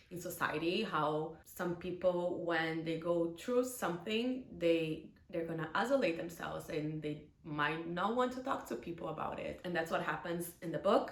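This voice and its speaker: A woman with a non-native accent speaks at a moderate pace in a fairly low pitch. Audible room echo and noticeable background noise are present. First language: not English. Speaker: book vlogger. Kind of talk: casual book review to camera. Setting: home recording with ring light. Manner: animated.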